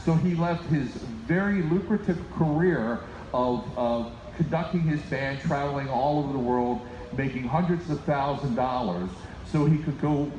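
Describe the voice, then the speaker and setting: A man's lively intonation amid audible room echo and noticeable background noise. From United States (born in Finland, moved as small child). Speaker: band leader. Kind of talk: concert stage announcement. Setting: live concert with audience.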